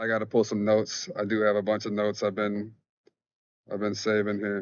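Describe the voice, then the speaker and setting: Monotone, flat intonation runs through a man's fairly quick speech. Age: 30s. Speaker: spirituality vlogger. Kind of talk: casual monologue vlog. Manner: fast; informal, halting.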